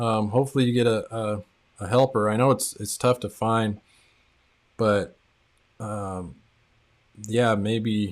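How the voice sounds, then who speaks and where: Monotone, flat intonation marks this man's speech. He goes along at a fairly slow pace. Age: 40s. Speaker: tile contractor and coach hosting live stream. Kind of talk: live stream chat reading viewer comments. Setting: live stream. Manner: casual, filler-heavy.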